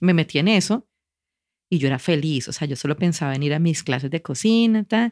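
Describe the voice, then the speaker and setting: An unremarkable speaking voice at a moderate pace with lively intonation, dry and close with no echo, in a very clean recording with a silent background. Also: woman. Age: 40s. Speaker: advertiser and cooking teacher. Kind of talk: casual interview.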